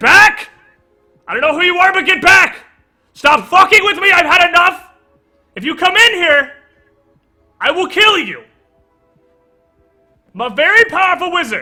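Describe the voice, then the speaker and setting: A man shouts in a put-on character voice at an extremely high pitch, raised and projected, at a moderate pace. Long, frequent pauses break it up while faint music plays in the background. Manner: yelling, threatening, frantic.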